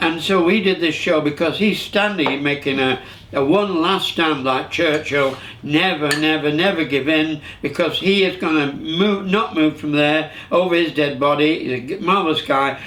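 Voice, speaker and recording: A man with a Lancashire accent, fairly high pitch, moderate pace and ordinary pitch variation, with noticeable background noise and audible room echo. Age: 70s. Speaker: show host, veteran entertainer. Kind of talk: casual chat. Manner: halting.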